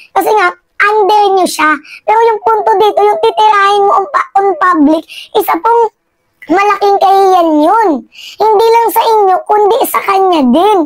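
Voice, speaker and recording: At a moderate pace, a woman speaks at an extremely high pitch, with ordinary pitch variation and very even loudness. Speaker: political commentary vlogger. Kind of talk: political commentary monologue. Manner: animated.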